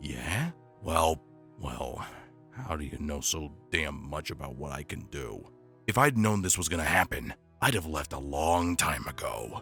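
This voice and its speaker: A put-on character voice from a man, very deep and low in pitch, at a moderate pace over clear music in the background. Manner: rough, defiant.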